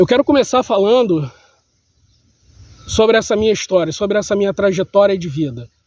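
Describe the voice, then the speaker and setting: Speech moves at a fairly quick pace with lively intonation, broken by long, frequent pauses. The sound is dry and close, with no echo. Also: man, high pitch for a man. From Brazil, Rio de Janeiro city. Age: 40s. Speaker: vlogger sharing life story. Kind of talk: personal testimony monologue.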